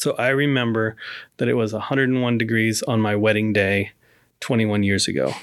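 Very clean recording with a silent background of a man with an unremarkable speaking voice, medium pitch, ordinary pitch variation, very even loudness and a moderate pace. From moved around the US. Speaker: pastor and chaplain. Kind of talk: casual interview. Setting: studio.

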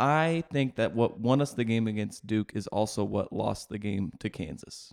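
With an unremarkable speaking voice, a man speaks at a medium pitch and a fairly slow pace, his intonation lively, in a very clean recording with a silent background. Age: 20s. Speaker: sports podcast co-host. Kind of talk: casual sports chat.

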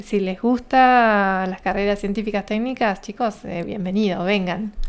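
A medium-pitched woman talks with fairly even intonation. The recording is very clean, with a silent background. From Argentina, Río Negro province. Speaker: scientist and university lecturer. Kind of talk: interview.

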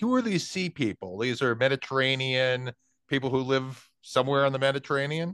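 In a normal speaking voice, a man talks at a fairly quick pace, captured with a dry, close sound and no echo. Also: medium pitch for a man, ordinary pitch variation. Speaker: podcast interviewer. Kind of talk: casual interview conversation.

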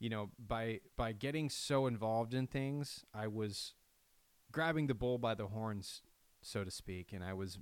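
A very clean, silent-backed recording of a man, his pitch moving in a normal way. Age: 30s. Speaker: podcast host. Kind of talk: solo reflective monologue. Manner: halting.

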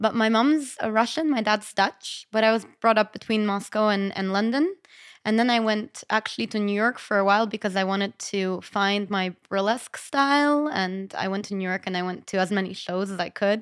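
With hardly any pauses, a woman with an American accent speaks with ordinary pitch variation in a very clean recording with a silent background. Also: medium pitch for a woman, moderate pace. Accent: slightly American-sounding English. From lived in Malta since school age. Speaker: burlesque performer. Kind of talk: casual panel chat. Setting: studio around a table. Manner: animated, laughs often.

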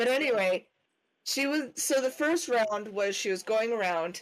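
A woman with an American accent speaks at a fairly slow pace and a fairly high pitch. Her intonation is lively, and her loudness is very even. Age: 20s. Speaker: podcast co-host, parent. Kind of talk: casual chat.

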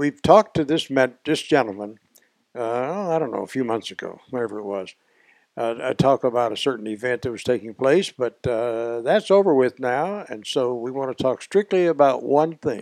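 With a Southern US accent and lively intonation, a man comes through in a dry, close sound with no echo. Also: medium pitch for a man, moderate pace. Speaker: podcast host. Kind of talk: casual interview.

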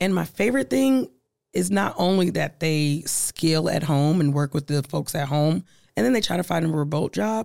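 Speaking at a moderate pace with an American accent, a woman has a very deep, low pitch on a very clean recording with a silent background. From US Midwest, Omaha, Nebraska. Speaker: diversity and inclusion executive. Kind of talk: interview. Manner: animated.

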